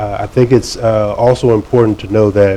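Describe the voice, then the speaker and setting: With an American accent, a man speaks at a fairly low pitch and a fairly quick pace. His intonation is monotone and flat, and noticeable background noise is present. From Virginia, Fairfax County. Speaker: gallery owner. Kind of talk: panel conversation.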